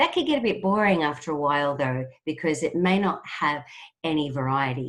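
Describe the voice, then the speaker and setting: A woman speaks in an Australian accent at a moderate pace. Her voice is very deep and low, with lively intonation. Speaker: trainer. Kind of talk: webinar presentation.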